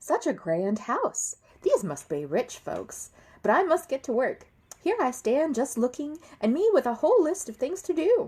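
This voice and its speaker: Using a put-on character voice, a woman talks at a high pitch with very wide pitch swings. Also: moderate pace. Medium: read story. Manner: earnest, folksy.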